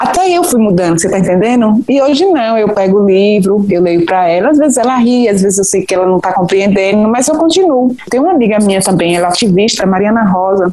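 Through noticeable background noise, a woman talks at a medium pitch with lively intonation, very even loudness and hardly any pauses. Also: fairly quick pace. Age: 40s. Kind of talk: interview, personal testimony.

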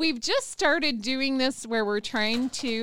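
A woman with an American accent speaks in a bright, sharp tone at a fairly slow pace, her pitch varying in an ordinary way. The recording is very clean, with a silent background. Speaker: radio host. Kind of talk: casual interview. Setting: radio show.

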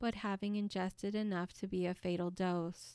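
A woman speaks in a dramatic, solemn tone at a moderate pace. The recording is very clean, with a silent background. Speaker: podcast host and author. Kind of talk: true-crime narration, scripted historical storytelling. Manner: measured, solemn, steady narration; dramatic, rhetorical questions for suspense.

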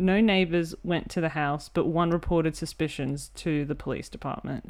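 An Australian accent at a moderate pace with ordinary pitch variation over a quiet background. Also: woman. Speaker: podcast host. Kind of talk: casual chat.

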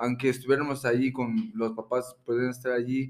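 The voice belongs to a man. His pitch is medium. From Florida, US. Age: 30s. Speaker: rapper. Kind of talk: casual chat. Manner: halting.

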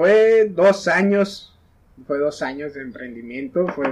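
Over noticeable background noise, a man speaks at a fairly slow pace. His intonation is lively. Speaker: coffee entrepreneur. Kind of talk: casual chat.

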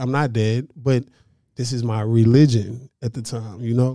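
Here is a man with an ordinary speaking voice, medium in pitch, talking fairly slowly with fairly even intonation. The recording is very clean, with a silent background. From North Dallas, Texas, partly Little Rock, Arkansas. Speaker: urban farmer and planter box entrepreneur. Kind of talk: casual interview chat.

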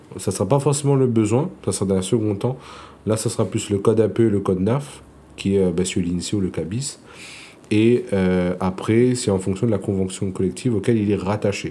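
Using ordinary pitch variation at a moderate pace, a man speaks with a fairly low pitch and a dark, mellow tone. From Réunion. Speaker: insurance broker. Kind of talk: interview.

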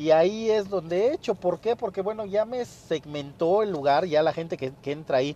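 Speaking at a moderate pace with hardly any pauses, a man with a Mexican accent has a high pitch, a dark, mellow tone and ordinary pitch variation. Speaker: podcast host, fitness business owner. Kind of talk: solo podcast monologue, business advice. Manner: casual, with many fillers.

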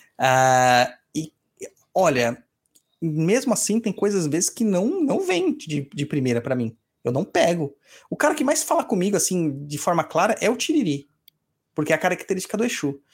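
A man's high voice swings very widely in pitch as he speaks at a moderate pace. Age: 40s. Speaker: podcast host and umbanda priest. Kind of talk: casual chat answering listener emails. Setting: live stream.

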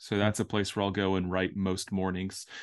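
This man's voice is fairly low-pitched, in a Southern US accent. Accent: Southern US, mild. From Orlando, Florida. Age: 30s. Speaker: poet, author and speaker. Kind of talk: casual interview chat. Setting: video call.

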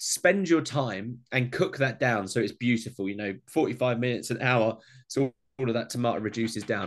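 With an Essex accent, a man speaks at medium pitch and a moderate pace, showing ordinary pitch variation. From Essex, England. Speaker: home cooking content creator. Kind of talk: casual interview chat.

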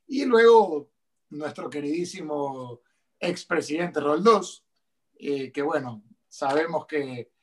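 A man speaks at a very slow pace. Long, frequent pauses fill his delivery. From Ecuador. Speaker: politician. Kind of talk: interview. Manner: halting.

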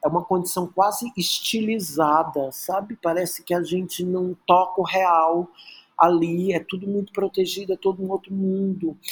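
The man's pitch is high, his intonation fairly even. He holds a moderate pace. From Brazil, Rio de Janeiro (Praia Vermelha), born in Teresina. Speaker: choreographer and dancer. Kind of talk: interview conversation.

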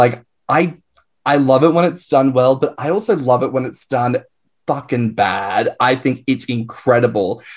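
A man with an Australian accent talks, his pitch shifting in a typical way. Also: medium pitch for a man, moderate pace. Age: 20s. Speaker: podcast co-host. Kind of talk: casual chat.

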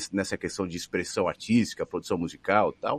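The recording has a dry, close sound with no echo and a quiet background. A man speaks at a fairly low pitch. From Brazil, São Paulo. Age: 40s. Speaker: radio broadcaster. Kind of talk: casual interview.

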